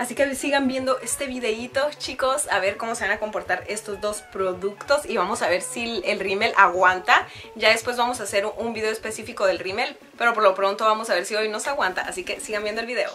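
Over faint music in the background, a woman speaks at a fairly quick pace with hardly any pauses and ordinary pitch variation. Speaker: beauty vlogger. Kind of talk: casual vlog chat, product review. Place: home room.

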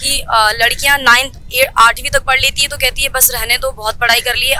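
At a fairly quick pace, a woman with a high pitch uses a raised, projected voice in a dry recording with no echo. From Delhi. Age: young. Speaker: community social worker. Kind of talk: interview. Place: street. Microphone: handheld.

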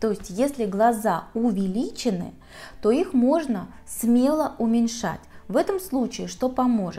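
A woman speaks at a fairly slow pace with lively intonation. Her tone is dark and mellow. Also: fairly high pitch for a woman. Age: 40s. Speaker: makeup artist. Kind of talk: tutorial. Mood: calm, explanatory.

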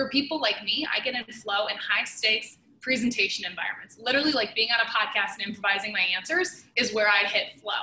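With ordinary pitch variation, a woman talks at a fairly quick pace, hardly pausing. Audible room echo and light background noise are present. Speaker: podcast guest, sales leader. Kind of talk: interview answer. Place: home room. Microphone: video call.

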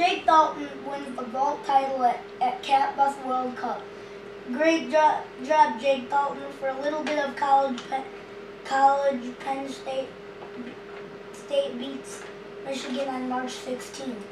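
A squeaky, put-on character voice moves at a very slow pace, with a slight echo and clear background noise. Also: woman, high pitch for a woman.

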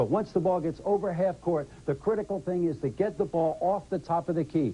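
His tone dark and mellow, a man talks with ordinary pitch variation. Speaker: color analyst. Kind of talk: commentary. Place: studio.

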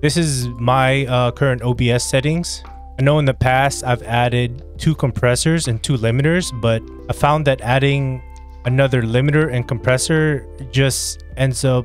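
A man speaks at very even loudness in a dry sound with no echo. Faint music plays in the background. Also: moderate pace. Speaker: streamer. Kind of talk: tutorial. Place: home room. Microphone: studio mic.

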